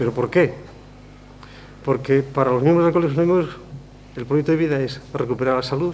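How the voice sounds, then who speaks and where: A man with a fairly high voice talks at a fairly quick pace. His pitch varies in an ordinary way, and background noise is noticeable. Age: 60s. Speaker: speaker at a convention. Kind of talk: public talk. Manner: conversational, with fillers.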